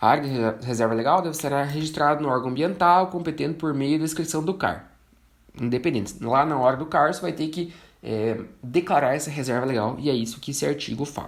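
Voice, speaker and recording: Audible room echo surrounds a man talking at a fairly quick pace with a fairly high pitch. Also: ordinary pitch variation. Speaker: forestry engineer and instructor. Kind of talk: online lecture.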